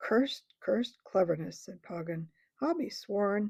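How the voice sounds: Heard against a quiet background, a natural reading voice carries lively intonation.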